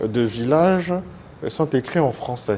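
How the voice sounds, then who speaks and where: Speaking with ordinary pitch variation, a man uses a fairly high voice. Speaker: association president, TV guest. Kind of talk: TV interview. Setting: TV studio. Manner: hesitant, many fillers.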